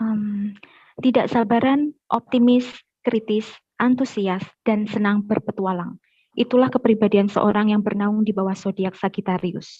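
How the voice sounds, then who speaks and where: A woman's somewhat breathy, fairly high-pitched voice at a fairly slow pace, with fairly even intonation. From Semarang, Central Java, Indonesia. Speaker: workshop participant. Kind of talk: reading own self-introduction.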